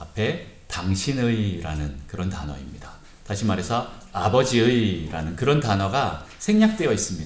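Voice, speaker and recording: A man with a fairly low pitch and very wide pitch swings, at a moderate pace, amid audible room echo. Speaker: pastor. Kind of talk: sermon. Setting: church service. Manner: calm, soothing.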